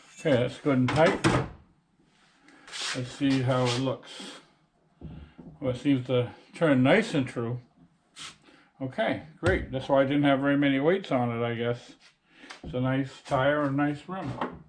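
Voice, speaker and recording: The speaker goes at a fairly slow pace with long, frequent pauses and ordinary pitch variation, with audible room echo around the voice. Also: man, medium pitch for a man. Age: 70s. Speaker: home mechanic tutorial host. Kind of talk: tutorial. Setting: home garage. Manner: casual, with frequent fillers.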